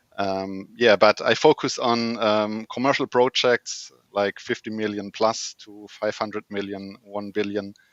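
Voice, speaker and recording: In a German accent, a man with a fairly low pitch speaks at a fairly slow pace. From Germany. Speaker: project manager and lean consultant. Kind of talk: panel discussion.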